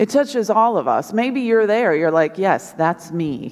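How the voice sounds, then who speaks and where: The background stays quiet while a woman talks. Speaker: preacher. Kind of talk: sermon. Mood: earnest, conversational. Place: church. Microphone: headset.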